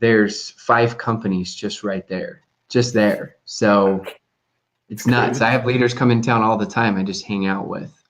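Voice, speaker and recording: This is a plain, everyday voice with an American accent. The pace is fairly slow. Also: man, medium pitch for a man. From US. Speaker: network marketing consultant. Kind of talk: casual chat. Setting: live stream.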